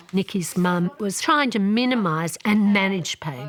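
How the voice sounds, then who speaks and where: A woman with an Australian accent at a moderate pace, with noticeable background noise. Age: 60s. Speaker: chronic pain patient and doctor. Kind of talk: interview testimony.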